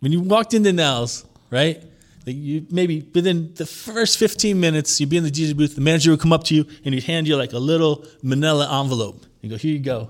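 Talking at a very fast pace with a New York accent, a man shows ordinary pitch variation. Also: fairly high pitch for a man. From New York, Long Island. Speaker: DJ. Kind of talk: casual chat.

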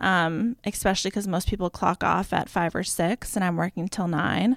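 With an American accent, a woman speaks in an unremarkable speaking voice at medium pitch with ordinary pitch variation, in a very clean recording with a silent background and a dry, close sound with no echo. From Boston. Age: 30s. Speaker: business consultant and style blogger. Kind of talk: interview.

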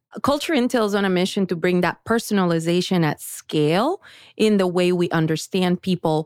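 Speaking with a Spanish accent, a woman uses a medium pitch, moderate pace and ordinary pitch variation in a dry, close sound with no echo and a very clean recording against a silent background. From Colombia. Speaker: tech company founder and CEO. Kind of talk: interview.

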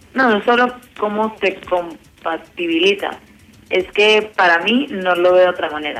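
A woman talks at a fairly slow pace in a normal speaking voice. Her pitch sits in the medium range, with ordinary pitch variation. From Colombia, Medellín. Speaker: university student. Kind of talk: casual chat.

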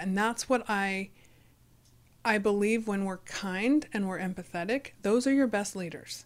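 With a normal speaking voice, a woman talks at a moderate pace and a medium pitch, using ordinary pitch variation. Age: 40s. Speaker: podcaster and author. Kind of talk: casual chat.

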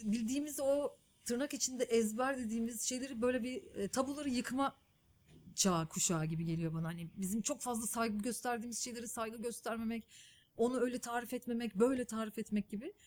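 A woman talks fairly quickly in an unremarkable speaking voice, fairly high in pitch, with ordinary pitch variation. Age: 30s. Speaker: journalist and documentary filmmaker. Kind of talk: interview conversation.

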